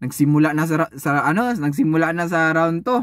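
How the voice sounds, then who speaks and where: Over a quiet background, a man speaks fairly slowly in a raised, projected voice with a bright, sharp tone, an animated delivery, ordinary pitch variation and a dry sound with no echo. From Philippines. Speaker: YouTube boxing commentator vlogger. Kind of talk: casual fight recap and trash talk. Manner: animated, mocking, laughing. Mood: animated, mocking, exasperated. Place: car. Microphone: phone near.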